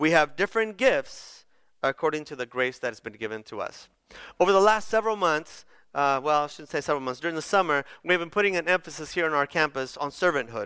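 The voice has a bright, sharp tone, lively intonation and big swings in loudness, moving at a very fast pace over a very clean recording with a silent background. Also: man, fairly high pitch for a man. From Bolivia, moved to Chula Vista, California as a child. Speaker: pastor. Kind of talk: sermon. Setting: church. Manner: casual, hesitant with many fillers.

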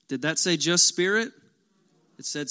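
A man talks with lively intonation in a very clean recording against a silent background. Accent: American. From Kentucky. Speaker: pastor. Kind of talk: sermon. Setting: church with congregation. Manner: animated.

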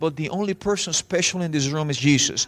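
Speaking very fast with a Latin American accent, a man uses a high pitch, recorded with a dry, close sound and no echo. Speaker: visiting preacher. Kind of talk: sermon. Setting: church with audience. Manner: passionate, animated; fast talker.

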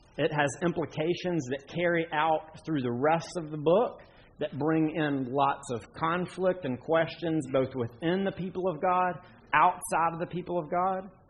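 With a Southern US accent, a man speaks at a fairly slow pace in a fairly high pitch with fairly even intonation. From western North Carolina. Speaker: pastor. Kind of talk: sermon.

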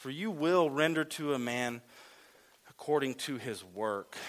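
A man talks at a moderate pace in a bright, sharp tone with ordinary pitch variation. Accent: Southern US. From Louisiana. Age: 30s. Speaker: lay preacher. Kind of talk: sermon.

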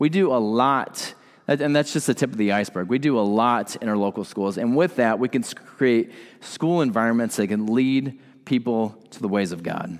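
The recording is very clean, with a silent background, and a man speaks in a normal speaking voice. His medium pitch shows ordinary variation at a moderate pace. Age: 30s. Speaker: pastor. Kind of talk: sermon.

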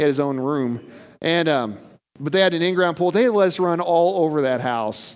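His intonation is lively as the man speaks. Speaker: pastor. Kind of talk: sermon. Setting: church. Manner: fast.

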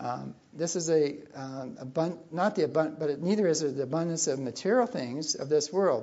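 This man has a normal speaking voice, fairly high in pitch with ordinary variation, moving at a moderate pace with hardly any pauses. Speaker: preacher. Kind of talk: sermon. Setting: church.

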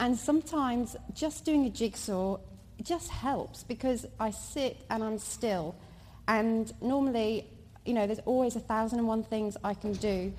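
At a moderate pace, this woman talks in a somewhat breathy, fairly high voice, her pitch varying in an ordinary way. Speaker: mother. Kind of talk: testimony. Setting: church.

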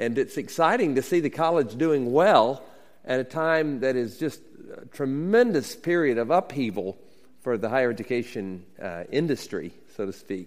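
With an American accent, a man in a plain, everyday voice speaks at a moderate pace and medium pitch with lively intonation. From US South (Alabama). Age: 50s. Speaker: university president and pastor. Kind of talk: sermon. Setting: stage with audience.

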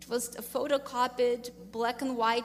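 With music playing behind her, a woman with a Russian accent speaks at a fairly high pitch in a flat monotone. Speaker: business owner. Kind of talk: testimony.

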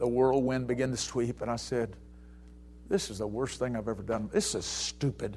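With an Alabama accent, a man talks at a moderate pace in a medium pitch. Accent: Southern US (Alabama). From US South, Mobile, Alabama. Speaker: pastor. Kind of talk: sermon. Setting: church. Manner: animated.

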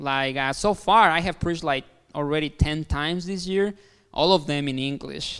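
A man with a Mexican accent speaks at a fairly high pitch and moderate pace, with ordinary pitch variation. The recording is very clean, with a silent background. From Mexico. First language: Spanish. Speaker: pastor. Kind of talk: sermon. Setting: church.

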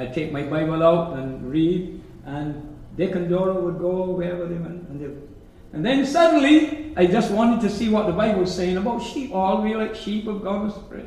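A man with a high pitch speaks at a moderate pace with lively intonation. Noticeable background noise is present. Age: 70s. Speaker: preacher. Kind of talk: sermon. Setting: church.

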